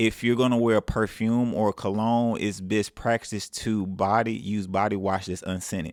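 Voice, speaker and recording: Recorded very cleanly against a silent background, a man with a fairly low voice and a Southern US accent talks with fairly even intonation and hardly any pauses. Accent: southern drawl. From Mississippi. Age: 30s. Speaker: self-improvement vlogger. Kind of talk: casual advice monologue.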